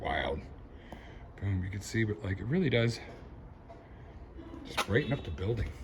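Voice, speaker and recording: Quiet and fairly low in pitch, a man speaks at a moderate pace with ordinary pitch variation over noticeable background noise. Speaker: reverend sharing his garden. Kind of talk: casual vlog walkthrough. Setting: outdoors, around his building. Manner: quiet, talking low; casual, animated.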